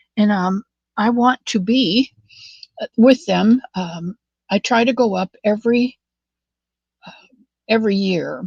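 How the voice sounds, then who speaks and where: Her voice is fairly high, somewhat breathy, with a dry, close sound and no echo. The woman speaks at a fairly slow pace, with ordinary pitch variation and long, frequent pauses. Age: 70s. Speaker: crochet livestream host. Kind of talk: casual chat. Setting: livestream. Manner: halting.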